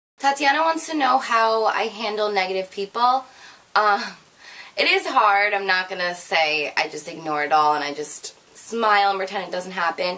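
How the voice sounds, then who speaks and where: A woman's voice at medium pitch swings very widely up and down. Noticeable background noise runs underneath. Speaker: beauty and fashion YouTuber. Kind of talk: casual Q&A vlog. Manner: fast.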